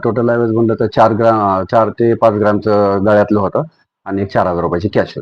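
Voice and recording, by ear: A man with a fairly low pitch and little pitch movement, at a fairly quick pace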